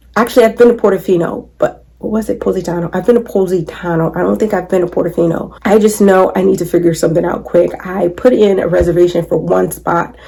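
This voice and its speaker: A woman speaks at a very fast pace with medium pitch and fairly even intonation. Noticeable background noise runs underneath. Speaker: lifestyle vlogger. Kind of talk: casual vlog chat. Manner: casual, chatty.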